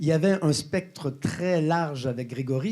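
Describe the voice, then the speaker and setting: Speaking at a fairly slow pace with a slight Quebec accent, a man has a fairly high pitch and a dark, mellow tone. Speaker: health company co-founder and exercise scientist. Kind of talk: conference presentation. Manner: hesitant, many filler sounds.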